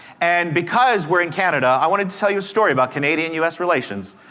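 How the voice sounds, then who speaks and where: In a room with audible echo, a man speaks at a high pitch and a fairly quick pace with ordinary pitch variation. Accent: American. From Texas. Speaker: conference speaker and negotiation teacher. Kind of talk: conference talk.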